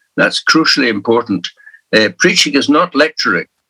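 A man with a Scottish Highland accent, dry and close with no echo. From Scottish Highlands. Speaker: minister and church leader. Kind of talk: interview.

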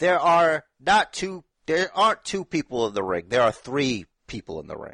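His tone is animated, with very wide pitch swings at a fairly high pitch. The man's recording sounds dry and close, with no echo. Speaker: wrestling podcast co-host. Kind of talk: casual banter. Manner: animated, joking.

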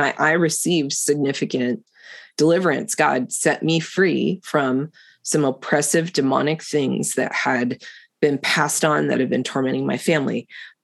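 At a moderate pace, a woman with a very deep, low pitch and vocal fry speaks in fairly even intonation over a quiet background. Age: 50s. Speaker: podcast host. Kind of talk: faith-based conversation.

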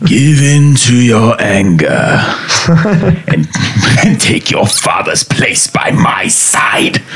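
Very slow pacing in a put-on character voice. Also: man, medium pitch for a man. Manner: sinister, tempting.

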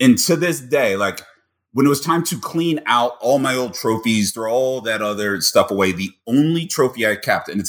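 Here is a man with an ordinary speaking voice and an American accent. He talks at a moderate pace with lively intonation. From US Midwest, Cincinnati. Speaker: poker vlogger. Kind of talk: casual interview.

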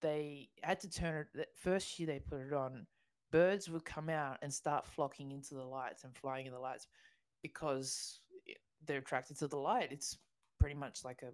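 Speaking with an Australian accent at a moderate pace, a woman has a very deep, low pitch, ordinary pitch variation and big swings in loudness over a quiet background. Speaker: podcast co-host. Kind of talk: casual chat.

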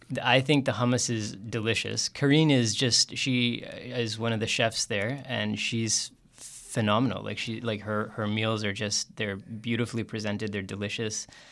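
A man with a Canadian accent and an unremarkable speaking voice speaks at a moderate pace in a medium pitch with fairly even intonation, in a very clean recording with a silent background. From Calgary, Canada. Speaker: tabla player. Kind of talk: interview; demonstration and explanation of tabla.

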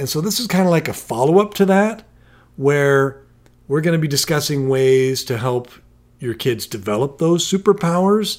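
A man speaks at a moderate pace and fairly high pitch, with lively intonation and an ordinary speaking voice. The recording is very clean, the background silent. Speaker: podcast co-host and parent. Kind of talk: casual podcast discussion with joke reading.

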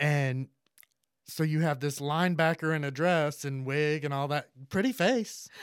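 In a plain, everyday voice, a man with an American accent speaks at a fairly slow pace with fairly high pitch and ordinary pitch variation, on a very clean recording with a silent background. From US South, central Florida. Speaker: drag performer and pride organizer. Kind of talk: casual interview.

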